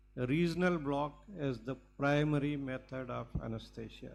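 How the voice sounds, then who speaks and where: There is audible echo from the room. A man's speech moves at a moderate pace. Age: 70s. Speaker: anesthesiologist, medical lecturer. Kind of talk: lecture.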